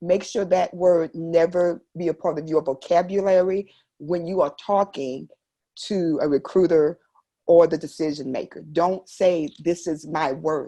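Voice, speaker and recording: A woman's fairly low-pitched, dark, mellow voice with fairly even intonation at a fairly slow pace against a quiet background. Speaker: military spouse and entrepreneur. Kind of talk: podcast interview.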